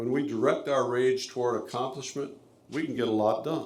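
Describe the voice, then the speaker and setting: A man of medium pitch talks at a fairly quick pace with ordinary pitch variation, and audible room echo surrounds him. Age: 70s. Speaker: public commenter, company executive. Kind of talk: public comment at a city meeting. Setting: city planning commission meeting. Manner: formal.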